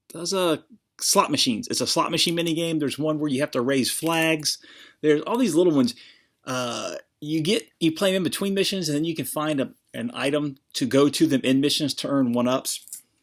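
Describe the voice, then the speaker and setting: In a very clean recording with a silent background, a man with an American accent talks at a fairly high pitch with ordinary pitch variation. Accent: slight southern drawl, usually suppressed. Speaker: video game collector vlogger. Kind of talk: casual chat. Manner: hesitant, many fillers.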